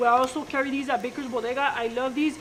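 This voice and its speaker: Very fast speech with fairly even intonation comes through over noticeable background noise. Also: woman. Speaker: baking show host. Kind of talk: cooking demonstration. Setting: studio, live stream.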